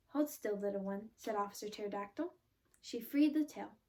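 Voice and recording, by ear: The clip is of reading aloud in a natural voice.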